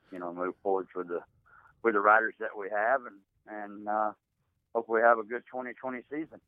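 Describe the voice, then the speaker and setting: A man speaks at a fairly quick pace in an ordinary speaking voice, his fairly low pitch held to fairly even intonation while his loudness swings widely. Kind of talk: casual phone interview. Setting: phone call.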